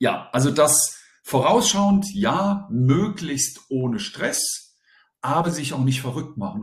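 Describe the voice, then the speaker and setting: A man talks at a fairly slow pace, his voice somewhat breathy and his intonation lively. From Germany, bilingual German-French household. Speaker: teacher and deputy head. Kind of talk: interview.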